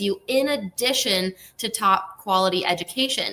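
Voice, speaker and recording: A woman with an American accent has a plain, everyday voice. Her pitch is medium, with ordinary pitch variation. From United States. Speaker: university recruitment manager. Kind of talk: webinar presentation.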